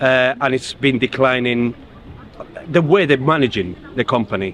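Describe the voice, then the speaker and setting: Over noticeable background noise, a man with a Spanish accent talks at a moderate pace with ordinary pitch variation. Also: medium pitch for a man. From Spain. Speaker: union rep, postal worker. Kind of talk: interview. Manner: halting.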